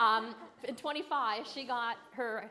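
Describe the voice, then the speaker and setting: A woman talks in a fairly high pitch. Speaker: Medicare insurance agent. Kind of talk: educational seminar. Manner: loud; fast.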